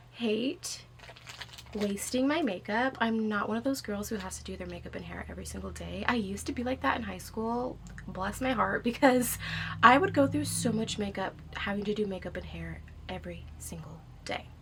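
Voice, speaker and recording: Over noticeable background noise and audible room echo, a woman speaks at a moderate pace. Her loudness swings widely. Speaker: book vlogger. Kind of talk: casual vlog chat. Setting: at home in reading chair.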